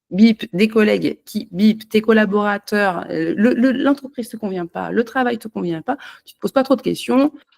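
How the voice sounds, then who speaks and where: A woman's dark, mellow voice has vocal fry and very wide pitch swings, recorded with a dry, close sound with no echo. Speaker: holistic energy therapist. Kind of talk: unscripted personal talk to camera. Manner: halting, many hesitations.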